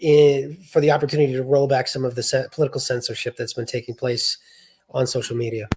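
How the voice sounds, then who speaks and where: Somewhat breathy and at medium pitch, a man with a Boston accent talks at a very fast pace in a monotone, flat intonation. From US Northeast, south of Boston, Massachusetts. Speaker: state party chair and writer. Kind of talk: interview.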